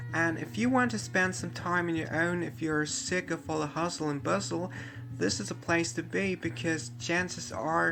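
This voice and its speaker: There is audible room echo as a man speaks at a moderate pace with lively intonation. His voice sits at a fairly high pitch with a bright, sharp tone. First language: German. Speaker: theme park video tour host. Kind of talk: narrated tour video.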